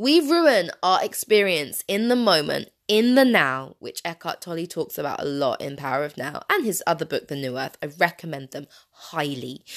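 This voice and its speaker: A woman speaks in a British accent with an animated tone, very wide pitch swings and big swings in loudness. She hardly pauses at all. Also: fairly low pitch for a woman, moderate pace, very clean recording, silent background. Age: 30s. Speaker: podcast host. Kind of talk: personal monologue.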